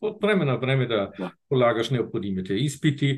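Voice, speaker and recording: This is a man's voice. It sounds somewhat breathy. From northern Germany. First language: German (speaking Bulgarian). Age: 60s. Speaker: retired diplomat and field hockey federation president. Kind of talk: casual interview. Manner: halting.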